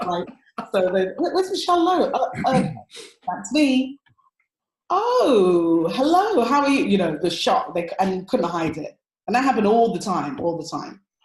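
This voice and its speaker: In an English accent, a woman talks at a moderate pace with a fairly high pitch, an animated tone and very wide pitch swings. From London, Tottenham. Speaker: relationship coach. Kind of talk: interview conversation.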